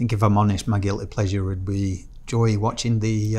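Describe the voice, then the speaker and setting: Fairly quick and monotone, a man speaks with flat intonation and a fairly low pitch. His tone is dark and mellow. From Yorkshire, England; lived 17 years in Australia. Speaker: podcast guest, campaign co-founder. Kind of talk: interview answer. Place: studio. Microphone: lapel.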